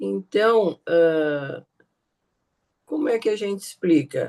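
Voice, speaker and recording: A woman speaks with a dark, mellow tone. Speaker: study group participant. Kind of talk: group discussion.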